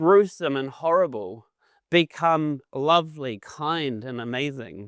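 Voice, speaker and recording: A man with a New Zealand accent speaks at a very slow pace with ordinary pitch variation. The recording is very clean, with a silent background and a dry, close sound with no echo. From New Zealand, Auckland. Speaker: animation and visual effects lecturer. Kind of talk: conference talk. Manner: many fillers, halting.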